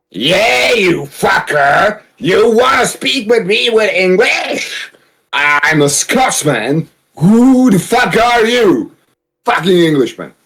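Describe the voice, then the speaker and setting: Using a put-on character voice, a man speaks very slowly at a high pitch, with very wide pitch swings and very even loudness. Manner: angry, aggressive.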